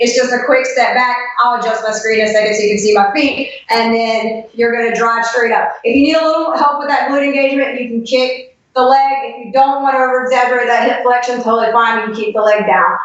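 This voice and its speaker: High-pitched woman's voice at a very fast pace, fairly even intonation, with audible room echo. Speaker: fitness trainer and former roller derby skater. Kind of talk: exercise tutorial.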